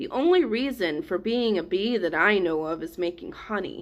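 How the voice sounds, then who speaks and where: A woman's growling, put-on character voice at medium pitch and a moderate pace. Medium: read story. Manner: slow, earnest, simple.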